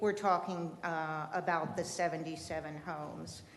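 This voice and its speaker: With audible room echo around her, a woman speaks at a moderate pace, her fairly low pitch held in a monotone, flat intonation. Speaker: local resident speaking at public comment. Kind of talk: public comment at city meeting. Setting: city commission meeting chamber. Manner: loud.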